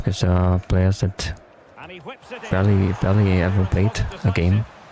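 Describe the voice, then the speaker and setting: Over music in the background, a man with a very deep, low voice speaks at a moderate pace in a monotone, flat intonation. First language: German. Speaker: gaming YouTuber. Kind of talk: gameplay commentary. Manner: halting.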